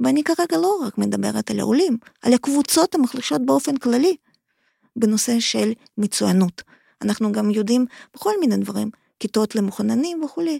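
A woman speaks with a dark, mellow tone and very wide pitch swings, leaving long, frequent pauses, in a dry, close sound with no echo. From Ukraine, Kharkiv. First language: Russian/Ukrainian (speaking Hebrew). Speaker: migration researcher, academic. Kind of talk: interview.

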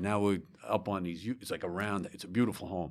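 A man with a New York accent speaks at a fairly low pitch with fairly even intonation. The recording is very clean and the background silent. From New York, Long Island. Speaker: retired fire chief. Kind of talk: interview. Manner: halting.

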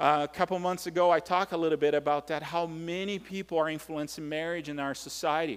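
With a Brazilian accent, a man speaks at a high pitch and a fairly quick pace on a very clean recording with a silent background. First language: Portuguese. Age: 40s. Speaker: pastor. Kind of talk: sermon. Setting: church. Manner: halting, with filler words.

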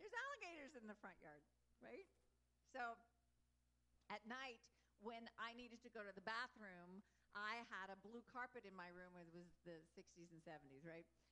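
A woman's fairly high voice with a bright, sharp tone, lively intonation and long, frequent pauses. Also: moderate pace. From Texas. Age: 60s. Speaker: wolf sanctuary founder and spiritual talk leader. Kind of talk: inspirational talk to a gathering. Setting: live gathering with audience.

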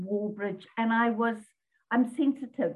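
The voice of this woman is somewhat breathy. Her intonation stays fairly even. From Zimbabwe, English parents. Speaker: business coach. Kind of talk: casual interview. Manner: repeats words, hesitant.

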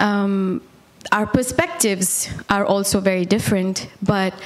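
Over noticeable background noise, a woman with an Indian accent speaks at a fairly slow pace and a medium pitch. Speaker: worship singer giving testimony, mother. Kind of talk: testimony. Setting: church.

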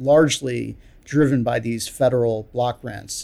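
This is a plain, everyday voice, a man with an American accent. His pitch is medium and his intonation fairly even. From US, New York City. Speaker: criminology professor. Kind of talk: interview about research.

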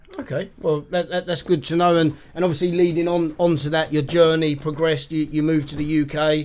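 Against noticeable background noise, a man speaks at a fairly high pitch and a fairly quick pace. His intonation is monotone and flat, with hardly any pauses. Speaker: podcast host. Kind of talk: interview.

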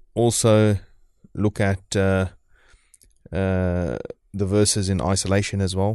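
Speaking very slowly, a man leaves long, frequent pauses against a quiet background. His voice is fairly low in pitch, with a dark, mellow tone and fairly even intonation. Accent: New Zealand. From New Zealand. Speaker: Islamic scholar. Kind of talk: interview discussion on Islamic topics. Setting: live radio studio.

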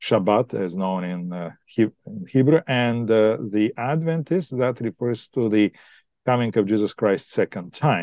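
In a Bulgarian accent, a dark, mellow voice moves at a fairly slow pace with lively intonation, recorded with a dry, close sound with no echo over a quiet background. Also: man, medium pitch for a man. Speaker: pastor. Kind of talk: podcast interview.

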